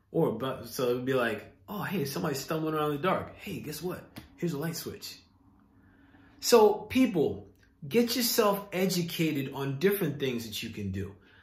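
A man speaks with big swings in loudness. Room echo is audible. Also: moderate pace. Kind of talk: casual vlog advice talk. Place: home room. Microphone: phone near.

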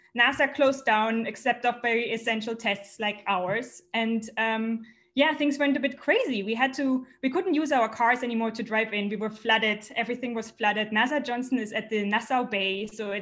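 Speech comes in a German accent at a moderate pace with hardly any pauses. Pitch variation is ordinary. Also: woman. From Germany. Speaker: astronomer; storyteller. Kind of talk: personal storytelling. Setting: remote video stream from home. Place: home room. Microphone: webcam.

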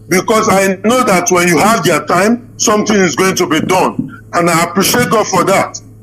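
A man's high voice, with ordinary pitch variation, moves at a moderate pace while noticeable background noise plays. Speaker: caller. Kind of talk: call-in question.

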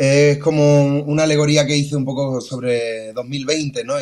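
A man in an Andalusian accent against a quiet background. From Seville, Andalusia. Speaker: singer-songwriter; remote guest. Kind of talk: interview. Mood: warm, friendly. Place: home room. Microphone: video call.

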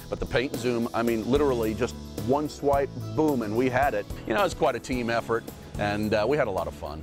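Music in the background behind fairly quick speech with lively intonation. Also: man, medium pitch for a man. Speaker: parent customer giving testimonial. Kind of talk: infomercial customer testimonial. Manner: casual, hesitant.

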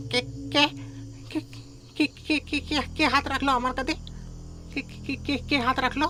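Clear background noise sits behind a shaky, high-pitched, put-on character voice that moves at a fairly quick pace.

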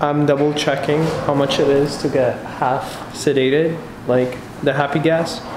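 There is noticeable background noise behind this man. His intonation stays flat and monotone. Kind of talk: casual vlog chat. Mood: nervous, anxious. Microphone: phone near.

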